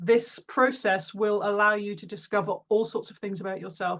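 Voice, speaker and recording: A woman talks fairly quickly at a medium pitch with fairly even intonation. Hers is a plain, everyday voice. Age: 50s. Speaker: author. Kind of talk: interview.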